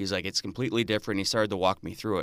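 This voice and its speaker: A man speaks with an Upper Midwest accent and a fairly low pitch. The recording is very clean, with a silent background. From northern Wisconsin (Marinette). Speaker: state senator. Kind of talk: radio interview. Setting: radio studio.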